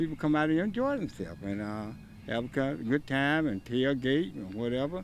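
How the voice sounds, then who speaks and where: With an American accent, a man talks at a moderate pace using very wide pitch swings. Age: 70s. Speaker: event volunteer. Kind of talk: on-location interview.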